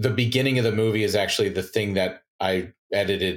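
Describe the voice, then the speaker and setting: Somewhat breathy and fairly quick, the voice shows ordinary pitch variation in a very clean recording with a silent background. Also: man. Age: 40s. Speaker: film and commercial director. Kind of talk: casual interview chat.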